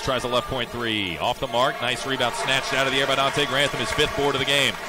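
Against noticeable background noise, a man talks at a very fast pace with hardly any pauses. His pitch is medium, with ordinary variation. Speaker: play-by-play announcer. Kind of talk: live sports commentary. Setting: arena broadcast. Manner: rapid, fluent, clipped play-by-play delivery.

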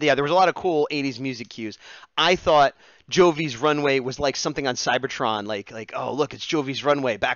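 With an American accent, a man speaks with ordinary pitch variation against a quiet background, the sound dry with no echo. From New Jersey, US. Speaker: live-streaming digital artist; streamer. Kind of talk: casual live stream while drawing. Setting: home live stream. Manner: chatty, jokey, improvising. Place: home room. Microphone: headset.

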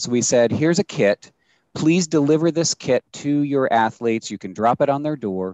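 A man with an American accent speaks at a fairly high pitch, in a dry sound with no echo over a quiet background. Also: lively intonation, moderate pace. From US. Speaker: sports nonprofit executive. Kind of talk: webinar panel discussion. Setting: video call. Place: home room. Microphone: headset.

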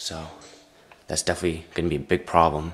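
Over music in the background, a man with a very deep, low pitch speaks at a moderate pace in a monotone, flat way. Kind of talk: casual vlog commentary. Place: home room. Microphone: phone near.

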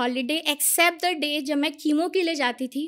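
Against a quiet background, the voice carries a bright, sharp tone with ordinary pitch variation. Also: woman. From India. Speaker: cancer survivor. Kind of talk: testimony. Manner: animated. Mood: earnest, emotional, upbeat at end. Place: studio. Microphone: studio mic.

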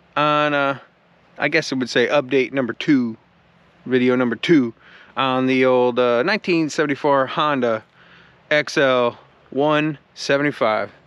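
The speech moves at a very slow pace with fairly even intonation and a dry sound with no echo. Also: man, long, frequent pauses. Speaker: DIY motorcycle vlogger. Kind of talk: casual vlog chat. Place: open country. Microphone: phone near.

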